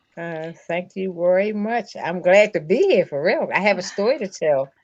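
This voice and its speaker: Her voice is an unremarkable speaking voice: a woman with an American accent at a medium pitch, talking at a moderate pace with lively intonation and big swings in loudness. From Baltimore, Maryland. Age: 60s. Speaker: person living with MS. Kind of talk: testimony.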